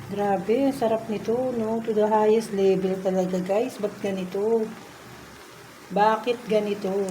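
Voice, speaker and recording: A soft-spoken woman, fairly high in pitch, at a fairly slow pace with monotone, flat intonation, amid noticeable background noise and audible room echo. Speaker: vlogger cooking at home. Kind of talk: casual cooking vlog.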